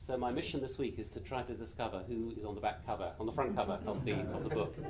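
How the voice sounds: Quiet and fast, this voice carries a British accent and ordinary pitch variation. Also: man, fairly low pitch for a man.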